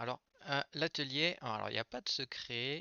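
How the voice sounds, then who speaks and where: A soft-spoken man. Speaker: IT trainer. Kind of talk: live tutorial workshop. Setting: live stream. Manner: hesitant, many fillers.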